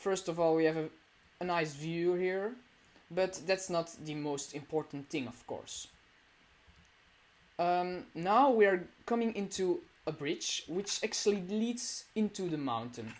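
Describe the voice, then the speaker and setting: A woman with a non-native accent and a fairly low pitch, lively intonation, a fairly slow pace and long, frequent pauses. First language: not English. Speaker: gamer showing a build. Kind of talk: video game tour. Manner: hesitant, many fillers.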